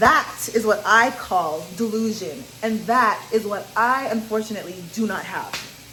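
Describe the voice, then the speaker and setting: There is noticeable background noise as a woman talks in an energetic tone at a fairly high pitch. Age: 20s. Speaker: vlogger. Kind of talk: casual chat. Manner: loud, energetic on camera.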